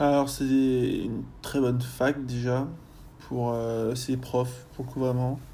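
A man with a medium pitch and a dark, mellow tone speaks at a very slow pace, with long, frequent pauses and monotone, flat intonation. Audible room echo surrounds his voice. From France, Rennes. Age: 20s. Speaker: university student. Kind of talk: casual interview. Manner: halting, many fillers.

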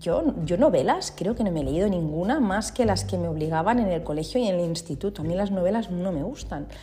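A woman with a fairly low pitch and lively intonation talks at a fairly quick pace with hardly any pauses, amid audible room echo and noticeable background noise. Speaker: feng shui consultant and podcast host. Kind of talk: solo podcast monologue, explanatory. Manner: informal and conversational.

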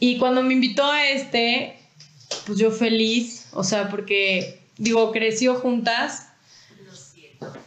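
A woman with a Mexican accent, fairly high-pitched and very slow, with big swings in loudness and audible room echo. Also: fairly even intonation. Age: 20s. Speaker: entrepreneur, company co-founder. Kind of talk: podcast interview.

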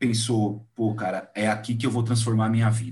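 Over audible room echo, a man with a medium pitch sounds somewhat breathy. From Brazil. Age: 30s. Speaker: podcast host. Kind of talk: casual interview chat.

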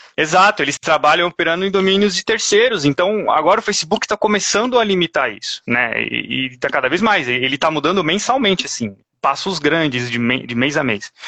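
A man with a high pitch talks at a fairly quick pace, with hardly any pauses. His pitch swings very widely. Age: 30s. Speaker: paid traffic specialist. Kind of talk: interview on a live stream.

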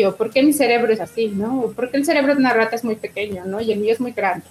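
A woman has a plain, everyday voice. Her pitch is fairly high, and her intonation is fairly even. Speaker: museum coordinator. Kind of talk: interview.

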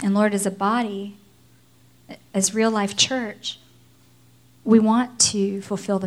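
Somewhat breathy and flat in a monotone, the speech moves at a fairly slow pace with long, frequent pauses. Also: woman. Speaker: pastor. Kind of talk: sermon.

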